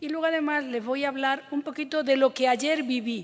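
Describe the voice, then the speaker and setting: A woman's high-pitched voice with an Andalusian accent, ordinary pitch variation and a moderate pace. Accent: Andalusian (Córdoba). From Andalusia, Spain (Córdoba). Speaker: government official and professor. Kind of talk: conference talk.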